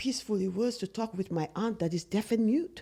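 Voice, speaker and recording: Speaking in a non-native accent, a woman with a fairly high pitch keeps a moderate pace. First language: not English. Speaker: podcast co-host. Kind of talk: casual chat.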